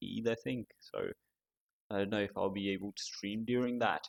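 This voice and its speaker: A man talks with a non-native accent and fairly even intonation. The sound is dry and close, with no echo. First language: not English. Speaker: gaming streamer. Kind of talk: casual live-stream chat. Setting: hot room, streaming alone. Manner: rambling, halting with many fillers.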